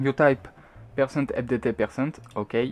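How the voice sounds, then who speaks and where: A man speaks at a very slow pace with a non-native accent. His pitch is medium. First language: not English. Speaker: gaming tutorial maker. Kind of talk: screen-recorded software tutorial. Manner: hesitant, many fillers.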